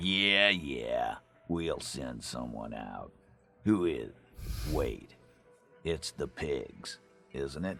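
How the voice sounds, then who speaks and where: Faint music plays behind a man doing a put-on character voice at a very deep, low pitch, very slow and full of long, frequent pauses. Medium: video game. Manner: gruff, scornful.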